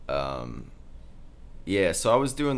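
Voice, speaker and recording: This man speaks with an American accent, lively intonation and vocal fry. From Kansas. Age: 20s. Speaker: videographer. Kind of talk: casual chat.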